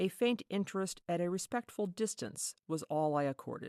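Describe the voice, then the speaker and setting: A woman speaks with ordinary pitch variation in a dry, close recording with no echo, very clean against a silent background. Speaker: ASMR reader. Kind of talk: reading from an old book. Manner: soft-spoken.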